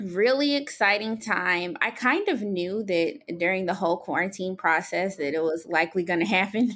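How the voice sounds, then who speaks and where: A normal speaking voice with an American accent moves at a moderate pace, with ordinary pitch variation. The recording is very clean, with a silent background. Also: woman. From Columbia, South Carolina (military family). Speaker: new mother, media relations worker. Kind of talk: personal testimony in interview.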